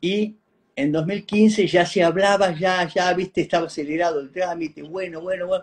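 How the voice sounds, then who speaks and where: This man speaks with a high pitch. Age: 60s. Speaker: researcher of a religious figure, descendant and devotee. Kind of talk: interview.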